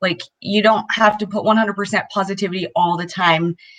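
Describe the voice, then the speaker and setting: A woman's upbeat, medium-pitched voice at a moderate pace. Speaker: co-host. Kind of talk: casual chat.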